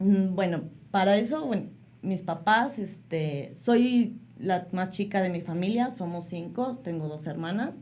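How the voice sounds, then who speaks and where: Somewhat breathy and with lively intonation, a woman's voice comes through with audible echo from the room. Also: medium pitch for a woman, fairly slow pace. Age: 30s. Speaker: mother sharing life story. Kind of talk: interview testimony.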